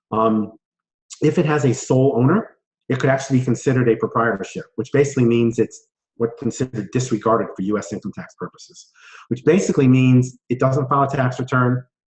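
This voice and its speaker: Somewhat breathy, a man talks at a very fast pace with a medium pitch and ordinary pitch variation. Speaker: tax accountant. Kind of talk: webinar presentation.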